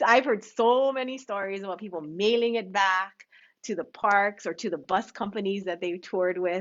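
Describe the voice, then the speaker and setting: A woman with a Hawaiian accent, medium in pitch, at a moderate pace. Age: 50s. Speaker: bead shop owner. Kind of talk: live stream chat. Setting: home live stream. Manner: animated.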